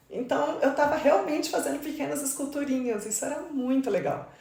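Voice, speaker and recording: A woman's voice with audible room echo. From Brazil, Mato Grosso do Sul. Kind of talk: interview conversation.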